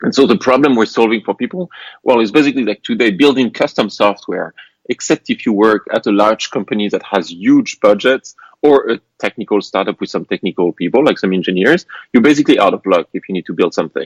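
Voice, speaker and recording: A man speaks with a French accent. His pace is very fast. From France. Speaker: tech startup founder. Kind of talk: podcast interview. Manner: halting, frequent fillers.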